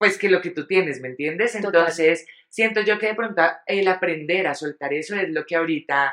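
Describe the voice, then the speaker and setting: A woman with a plain, everyday voice speaks at a fairly quick pace, her pitch fairly low with ordinary variation. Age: 30s. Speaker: podcast co-host. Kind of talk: casual chat.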